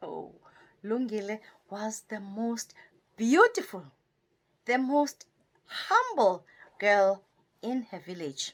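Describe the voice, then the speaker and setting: A woman's fairly high voice with a South African accent, very slow and full of long, frequent pauses, with lively intonation and big swings in loudness. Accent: South African (Xhosa). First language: Xhosa. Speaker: storyteller and poet. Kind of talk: oral folk storytelling.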